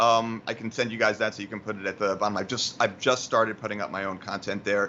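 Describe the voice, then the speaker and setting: At a fairly quick pace, a man speaks with a New York accent. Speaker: motion graphics tutorial creator. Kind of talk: tutorial. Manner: fast.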